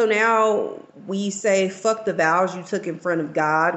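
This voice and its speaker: A woman with a fairly low pitch and an American accent has an ordinary speaking voice. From Texas. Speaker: guest or frequent chat participant. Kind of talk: casual banter.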